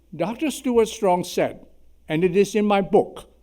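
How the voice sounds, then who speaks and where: A man speaks with a Chinese accent. His voice has a dark, mellow tone. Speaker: surgeon. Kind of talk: symposium talk.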